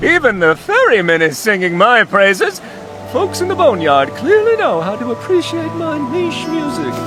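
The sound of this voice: Clear music plays behind a man's cartoonish character voice, pitched extremely high and swinging very widely in pitch. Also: moderate pace.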